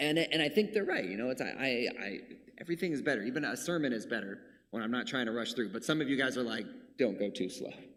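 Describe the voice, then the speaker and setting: A man talks at a very fast pace with lively intonation and a medium pitch. Audible room echo fills the recording. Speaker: preacher. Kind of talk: sermon. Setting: church.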